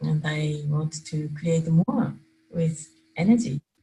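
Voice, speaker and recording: Someone with a Japanese accent speaks at a very slow pace. Their pitch varies in an ordinary way. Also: woman. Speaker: energy work facilitator. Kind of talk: casual chat. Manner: halting, non-native phrasing.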